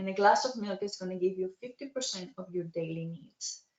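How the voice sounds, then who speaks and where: This woman has a normal speaking voice at a medium pitch. She talks at a moderate pace. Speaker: dietitian. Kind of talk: webinar presentation. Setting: online webinar.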